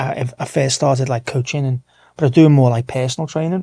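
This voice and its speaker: Medium-pitched male voice, dark and mellow, somewhat breathy, with fairly even intonation at a fairly quick pace. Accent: English. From Merseyside, England (Wirral, near Liverpool). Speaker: martial arts coach. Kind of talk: casual interview chat.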